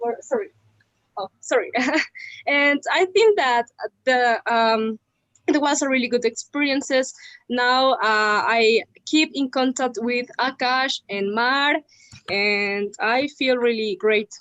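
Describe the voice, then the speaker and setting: A woman speaks at a very slow pace with long, frequent pauses. Her high voice has lively intonation. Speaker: former student. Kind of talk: casual chat. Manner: halting. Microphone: unstable internet connection.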